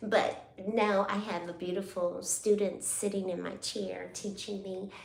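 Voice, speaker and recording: Over noticeable background noise and audible room echo, a woman talks at a fairly slow pace in a monotone, flat intonation. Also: medium pitch for a woman. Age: 60s. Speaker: hair braider and braiding school owner. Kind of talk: casual live stream chat. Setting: live stream while braiding hair.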